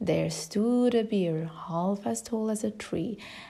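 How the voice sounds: Natural reading voice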